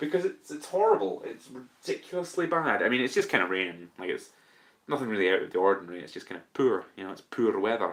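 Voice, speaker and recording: A man with a Scottish accent and big swings in loudness. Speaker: podcast host. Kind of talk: casual chat. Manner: slow.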